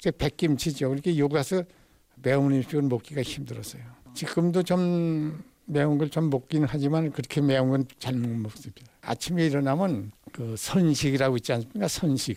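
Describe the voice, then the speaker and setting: Dark and mellow in tone, a man's fairly high-pitched voice moves at a moderate pace with ordinary pitch variation. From North Korea, North Pyongan. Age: 90s. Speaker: elderly interviewee. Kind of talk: recorded interview.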